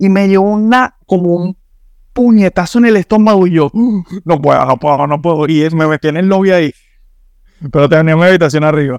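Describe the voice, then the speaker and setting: A man speaks in a high voice at a fairly quick pace, with ordinary pitch variation and very even loudness. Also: dry, close sound with no echo. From Venezuela. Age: 20s. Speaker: immigrant guest. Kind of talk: casual interview chat.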